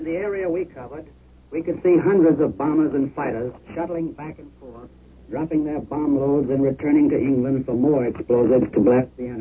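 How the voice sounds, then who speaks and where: Against noticeable background noise, a man speaks fairly quickly at a fairly high pitch, with ordinary pitch variation and big swings in loudness. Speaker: war correspondent. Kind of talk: eyewitness report.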